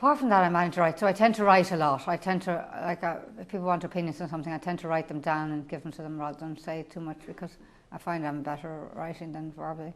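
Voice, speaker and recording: Very fast speech in an Irish accent with fairly even intonation. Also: woman, fairly low pitch for a woman. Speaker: school principal with Parkinson's. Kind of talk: personal testimony. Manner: halting, repetitive.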